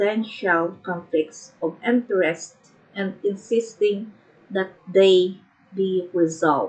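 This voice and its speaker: With a non-native accent, a woman speaks very slowly with fairly even intonation. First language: not English. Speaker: online educator. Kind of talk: reading aloud with commentary. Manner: halting.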